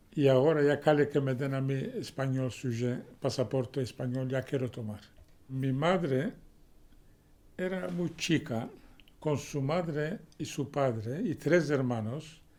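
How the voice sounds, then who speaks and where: The man's pitch is fairly high, with ordinary pitch variation. He speaks at a fairly slow pace in a dark, mellow tone. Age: 60s. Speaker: interviewee. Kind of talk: interview.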